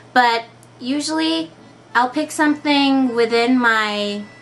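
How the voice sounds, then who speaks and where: A tired-sounding voice with ordinary pitch variation speaks over music in the background. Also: woman. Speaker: cosplayer. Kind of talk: casual unrehearsed interview answers to camera. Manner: slow, tired-sounding, some stuttering.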